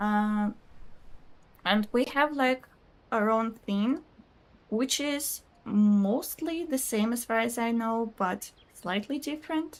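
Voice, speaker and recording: With a Russian accent, a woman speaks at a very slow pace in a fairly high pitch, with ordinary pitch variation and long, frequent pauses. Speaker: video game streamer. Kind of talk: casual live-stream chat reading viewer comments. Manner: chatty, hesitant with fillers.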